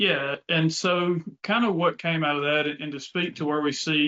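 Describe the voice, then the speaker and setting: With a Mississippi accent, a man talks at a fairly high pitch and with fairly even intonation. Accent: Southern US (Mississippi). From US South, North Mississippi. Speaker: tech company co-founder. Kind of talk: casual business chat.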